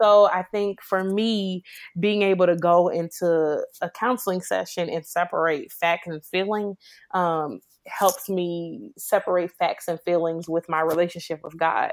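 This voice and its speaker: A woman with an ordinary speaking voice, fairly low-pitched with ordinary pitch variation, at a fairly slow pace, in a dry, close sound with no echo on a very clean recording with a silent background. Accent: American. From Chicago. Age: 20s. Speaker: IT worker and single mother. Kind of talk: podcast interview about personal testimony.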